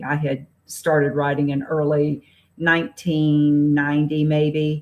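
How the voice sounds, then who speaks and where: Her pitch is very deep and low for a woman. She speaks with a Southern US accent. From US South, Raleigh, North Carolina. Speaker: novelist. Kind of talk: interview.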